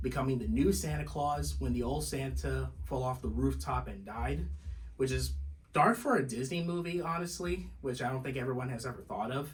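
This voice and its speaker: Music plays behind a man with a medium pitch. His pitch swings very widely. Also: moderate pace. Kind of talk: casual movie review talk to camera.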